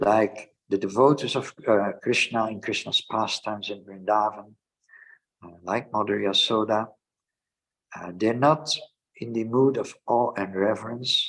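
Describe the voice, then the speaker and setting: The speaker talks at a fairly slow pace in a Dutch accent, with fairly even intonation. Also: man, medium pitch for a man. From Netherlands. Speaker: Hare Krishna teacher. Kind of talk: scripture lecture. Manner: hesitant with fillers.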